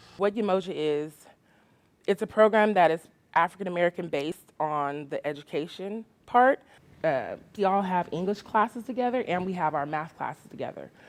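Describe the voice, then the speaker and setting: A woman with a plain, everyday voice talks at a medium pitch and a fairly quick pace. Her pitch variation is ordinary, in a very clean recording with a silent background. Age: 30s. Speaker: community college student. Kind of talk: testimony.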